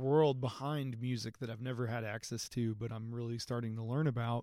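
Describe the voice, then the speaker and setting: A plain, everyday voice from a man with an American accent, medium-pitched, moderate in pace, with fairly even intonation, in a very clean recording with a silent background. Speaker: musician, singer and guitarist. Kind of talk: casual interview chat. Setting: empty movie theater.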